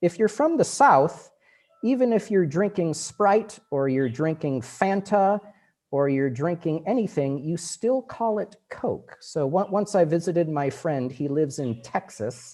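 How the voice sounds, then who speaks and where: A fairly slow delivery with a Western US accent. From US Pacific Northwest, Seattle. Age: 40s. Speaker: English language teaching officer, former English teacher. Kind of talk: online lecture. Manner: casual, conversational.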